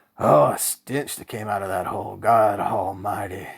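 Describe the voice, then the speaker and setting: A man speaks in a put-on character voice with a Southern US accent, raspy and fairly low in pitch. His intonation stays fairly even at a moderate pace. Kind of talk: folksy spoken testimony. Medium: read story. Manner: rambling, hesitant.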